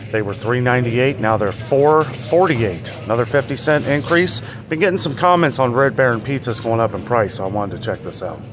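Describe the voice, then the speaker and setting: A man talks with ordinary pitch variation at a fairly quick pace, while noticeable background noise is present. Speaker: vlogger. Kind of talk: casual vlog commentary. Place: shop. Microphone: phone near.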